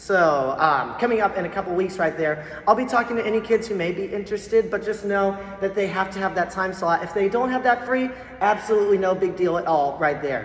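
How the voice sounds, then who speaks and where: Over noticeable background noise, a woman talks at a fairly quick pace in a medium pitch. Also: ordinary pitch variation. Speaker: school band teacher. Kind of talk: parent meeting presentation. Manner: fast; casual, filler-heavy.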